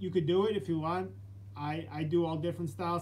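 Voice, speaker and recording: A man speaks with an American accent, his voice somewhat breathy. His pitch swings very widely, with light background noise behind him. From New York City (Brooklyn); New York City. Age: 30s. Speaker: fitness channel host, Marine veteran; fitness vlogger. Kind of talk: live stream Q&A chat. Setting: live stream. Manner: halting, repetitive. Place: home room. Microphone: phone near.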